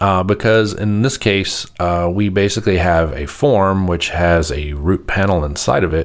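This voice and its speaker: Over noticeable background noise, a man speaks with a very deep, low pitch and ordinary pitch variation. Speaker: programming tutorial host. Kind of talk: screen-recorded software tutorial. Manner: casual, filler-heavy with many uhs; fairly fast.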